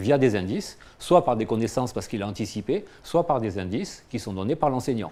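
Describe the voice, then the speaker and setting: A man with a dark, mellow tone and medium pitch talks at a fairly quick pace with lively intonation. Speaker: cognitive psychology researcher. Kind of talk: lecture. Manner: fast.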